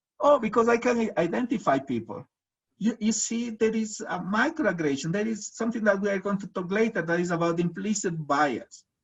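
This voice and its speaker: With a Latin American accent, a man talks at a fairly quick pace and high pitch, his intonation lively. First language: Spanish. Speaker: researcher and presenter. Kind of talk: webinar presentation. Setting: video webinar. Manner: halting, many fillers.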